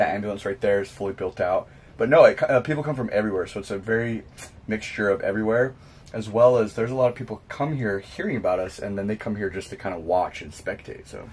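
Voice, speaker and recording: Talking at a very fast pace, a man with a fairly low, somewhat breathy voice shows ordinary pitch variation and big swings in loudness. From California. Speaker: professional base jumper; interviewee. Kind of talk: interview. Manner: hesitant, many fillers. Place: home room.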